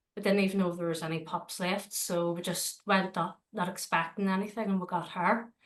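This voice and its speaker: A woman talks at a fairly quick pace with a Northern Irish accent. Her intonation is monotone and flat. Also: medium pitch for a woman, hardly any pauses. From Northern Ireland, Belfast. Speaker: dog trainer and dog walker. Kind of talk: interview. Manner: hesitant, many fillers.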